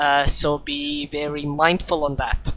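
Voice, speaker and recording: A woman with a non-native accent over noticeable background noise. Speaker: sim racing commentator. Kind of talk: live commentary. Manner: halting, many fillers.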